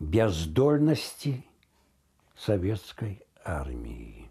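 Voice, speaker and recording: Against a quiet background, a man speaks in a dark, mellow tone that is somewhat breathy. His pitch swings very widely. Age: 80s+. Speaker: radio announcer. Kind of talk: interview answer. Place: home room. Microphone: lapel.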